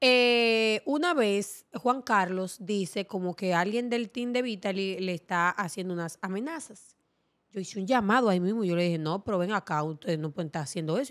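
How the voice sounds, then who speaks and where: Lively in intonation, a woman with a medium pitch speaks at a fairly quick pace with hardly any pauses over a quiet background. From Dominican Republic, Montecristi; Dominican Republic. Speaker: TV presenter. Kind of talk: casual interview. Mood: relaxed, candid. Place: studio. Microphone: studio mic.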